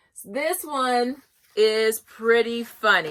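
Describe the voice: Her voice sits at a fairly high pitch with ordinary pitch variation. The woman's tone is bright and sharp.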